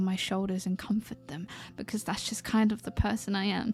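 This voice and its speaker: Someone speaks with a British accent. Music plays in the background. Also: woman. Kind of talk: ASMR roleplay. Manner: vulnerable, emotional.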